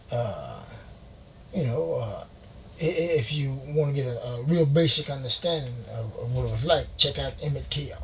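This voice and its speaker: With audible room echo, a man speaks at a moderate pace, leaving long, frequent pauses. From rural Louisiana, US South. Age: 60s. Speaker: former prisoner. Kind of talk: casual interview.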